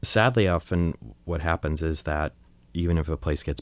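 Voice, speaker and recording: Speaking at a moderate pace, a man talks with an American accent. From US, Long Island, New York. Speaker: photographer and photography teacher. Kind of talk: interview.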